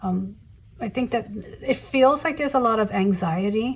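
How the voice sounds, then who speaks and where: A somewhat breathy woman's voice at a fairly slow pace, with ordinary pitch variation. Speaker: tarot reader. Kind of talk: tarot reading to camera. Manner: halting, many fillers.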